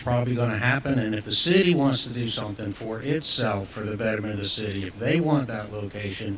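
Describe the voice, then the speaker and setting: Audible room echo surrounds this recording. A man with a medium pitch talks at a fairly quick pace. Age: 60s. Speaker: business owner speaking at public comment. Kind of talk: public comment at council meeting. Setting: city council meeting.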